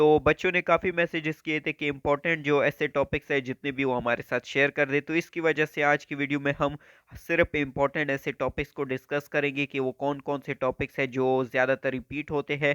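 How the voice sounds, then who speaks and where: A man's fairly high, bright, sharp voice at a moderate pace, with fairly even intonation, a dry, close sound with no echo and a quiet background. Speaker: YouTube educator. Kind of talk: tutorial.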